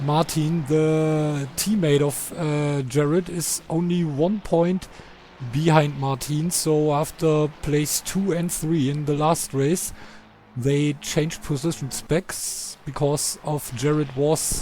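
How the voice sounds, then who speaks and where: There is noticeable noise behind a man with a German accent and a fairly high pitch. He speaks very slowly, his intonation fairly even. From Germany. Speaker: sim racing commentator. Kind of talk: live commentary. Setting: live stream. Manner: halting.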